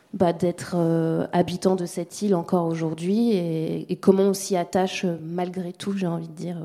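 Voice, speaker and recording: A woman's fairly low-pitched voice, dark and mellow in tone, monotone and flat in intonation, at a fairly slow pace. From Mayotte. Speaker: sound documentary maker. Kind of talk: round table discussion.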